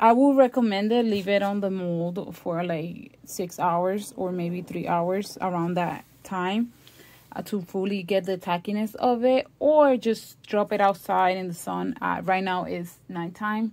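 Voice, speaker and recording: A woman of medium pitch with a strong non-native accent, fairly slow pace, and ordinary pitch variation, on a very clean recording with a silent background. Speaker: crafts YouTuber. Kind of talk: tutorial.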